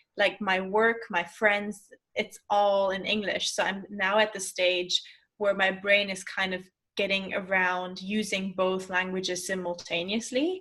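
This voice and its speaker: With a German accent, a woman at medium pitch talks in a monotone, flat intonation at a fairly slow pace, her tone bright and sharp. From Germany. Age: 20s. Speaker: life coach. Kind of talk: casual chat.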